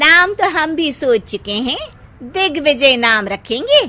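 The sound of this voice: In a high-pitched, cartoonish character voice, a woman speaks. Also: fairly slow pace.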